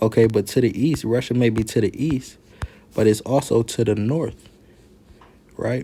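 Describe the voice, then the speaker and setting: Somewhat breathy, a man speaks at a medium pitch and a moderate pace with ordinary pitch variation. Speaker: Bible teacher. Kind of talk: Bible teaching.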